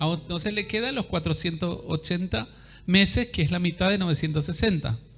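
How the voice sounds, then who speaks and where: A man with a high voice, ordinary pitch variation and a fairly quick pace, music playing in the background. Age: 60s. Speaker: apostle preacher. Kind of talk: sermon.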